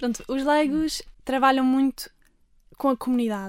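A woman at a moderate pace with fairly even intonation, in a very clean recording with a silent background. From Algarve, Portugal. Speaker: lay missionary volunteer. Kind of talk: radio interview. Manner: hesitant, many fillers.

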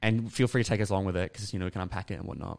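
Speaking very fast, a man talks with an Australian accent. The recording is very clean, with a silent background. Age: 20s. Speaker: podcast host. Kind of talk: casual interview.

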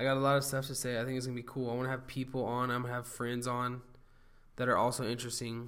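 Speaking very fast in a flat monotone, a man with an American accent holds a medium pitch amid audible room echo. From Southern California. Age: 20s. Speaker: podcast host. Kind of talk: casual monologue. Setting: home studio. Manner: casual, halting with fillers.

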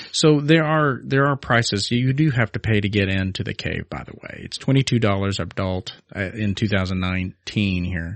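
A man's plain, everyday voice, fairly low in pitch, at a moderate pace with hardly any pauses, lively intonation and big swings in loudness. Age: 40s. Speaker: podcast co-host. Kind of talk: casual chat.

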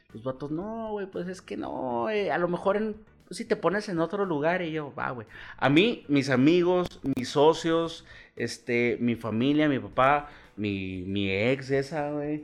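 Music plays behind a man speaking very slowly in a fairly high pitch. His voice swings very widely up and down. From Chihuahua, northern Mexico. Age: 30s. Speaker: bar owner and business leader. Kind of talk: casual chat.

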